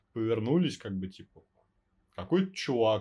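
A man with an unremarkable speaking voice and a medium pitch talks at a moderate pace with lively intonation. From Russian provinces. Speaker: podcast host. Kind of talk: casual chat with swearing. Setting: home recording on phone. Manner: casual, profane, fluent.

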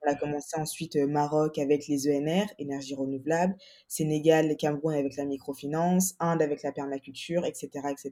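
The woman's pitch is very deep and low, with a dark, mellow tone. She speaks in a flat monotone. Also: moderate pace. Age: 20s. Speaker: entrepreneur. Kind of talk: casual chat.

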